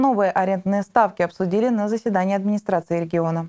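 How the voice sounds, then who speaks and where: Over a quiet background, a woman with a dark, mellow tone speaks at a very fast pace. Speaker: TV news reporter. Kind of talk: news report narration. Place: studio.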